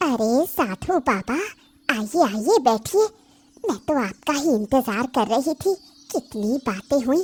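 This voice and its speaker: A woman uses a cartoonish character voice, high in pitch with very wide pitch swings, at a fairly slow pace. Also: dry, close sound with no echo. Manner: harsh, irritable.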